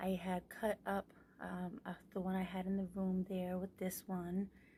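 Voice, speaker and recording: A woman's somewhat breathy voice with a dark, mellow tone, medium pitch, monotone, flat intonation and a fairly slow pace. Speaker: ASMR youtuber. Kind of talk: tutorial. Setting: small room at home.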